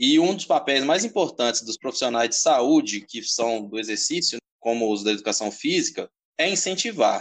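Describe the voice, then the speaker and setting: A man speaks at a moderate pace with a fairly high pitch and very wide pitch swings. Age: 20s. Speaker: personal trainer. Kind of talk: interview.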